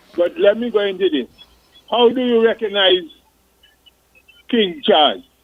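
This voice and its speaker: A man speaks at a moderate pace with a high pitch and lively intonation, in an Antiguan accent. His delivery has long, frequent pauses. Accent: Antiguan dialect, recognized when he talks. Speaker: retired police and coast guard officer. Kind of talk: casual radio chat. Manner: animated.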